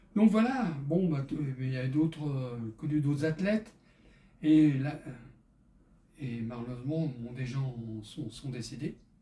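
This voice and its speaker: Very slow and broken by long, frequent pauses, a man's fairly high, somewhat breathy voice has a dark, mellow tone and lively intonation. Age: 70s. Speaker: fitness instructor for seniors. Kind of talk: exercise tutorial with casual chat. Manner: halting, many hesitations.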